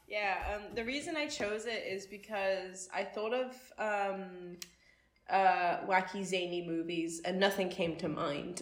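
A woman speaks with a Geordie accent at a medium pitch. Her pace is fairly slow and her intonation fairly even. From Newcastle, northern England. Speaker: film studies student. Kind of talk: casual chat.

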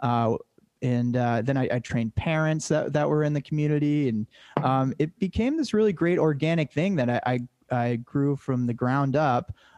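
An unremarkable speaking voice with an American accent, moderate pace, ordinary pitch variation and very even loudness, in a dry, close sound with no echo. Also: man, fairly high pitch for a man. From Massachusetts, Cape Cod. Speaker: filmmaker and production company co-founder. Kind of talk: casual chat.

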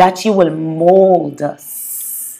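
A woman speaks with fairly even intonation. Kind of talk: fervent prayer, intercessory petition to God. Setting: solo podcast recording. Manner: earnest, impassioned, pleading; repetitive, halting with stammered repeats.

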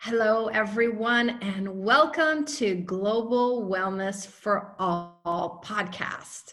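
A woman speaks very slowly with ordinary pitch variation and hardly any pauses. Noticeable background noise is present. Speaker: podcast host. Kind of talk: interview. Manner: animated.

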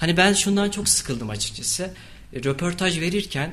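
A man with a plain, everyday voice talks at a moderate pace. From Turkey, Kayseri. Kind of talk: radio interview.

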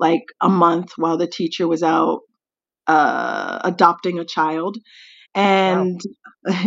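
A woman talks at a fairly slow pace with a medium pitch. It is a plain, everyday voice. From US South, Tennessee. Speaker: English teacher. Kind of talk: casual chat.

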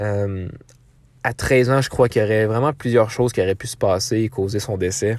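With a Quebec accent, a man talks at a medium pitch with ordinary pitch variation. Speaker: podcast host. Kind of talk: true crime storytelling. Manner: hesitant, many filler words.

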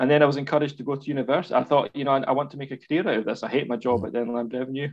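Here a man speaks in a Scottish accent. His intonation stays fairly even. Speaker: university lecturer in community education. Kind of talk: casual interview.

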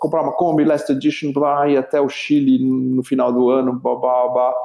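With a normal speaking voice and fairly high pitch, a man talks at a fairly quick pace. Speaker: entrepreneur, facilitator for leaders. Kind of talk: interview storytelling.

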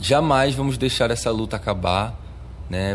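A man's medium-pitched voice at a fairly slow pace, with ordinary pitch variation and audible room echo. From Arcoverde, Pernambuco sertão, Brazil. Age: 20s. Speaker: samba de coco master and activist. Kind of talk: interview testimony. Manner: halting, with frequent repetitions.

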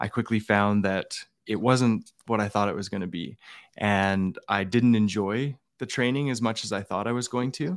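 In a very clean recording with a silent background, a man with an Albertan accent talks at a moderate pace, his fairly low pitch carrying fairly even intonation. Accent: Canadian (Albertan). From Alberta, Canada. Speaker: former police officer. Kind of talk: interview testimony.

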